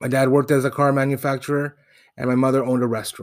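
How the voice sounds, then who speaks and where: A very fast male speaker at medium pitch, in a very clean recording with a silent background. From Toronto, Canada. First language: Spanish. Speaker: podcast host. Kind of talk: personal storytelling monologue.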